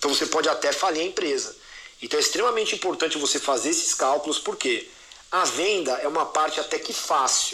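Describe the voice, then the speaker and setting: Noticeable background noise behind a man at a fairly quick pace. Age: 40s. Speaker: enterprise sales executive. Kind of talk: podcast interview. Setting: live audio room.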